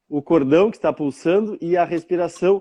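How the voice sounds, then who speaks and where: A fairly slow pace carries a dark, mellow tone. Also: man, quiet background. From southern Brazil, Rio Grande do Sul (Bagé). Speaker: therapist. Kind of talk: interview. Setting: live stream.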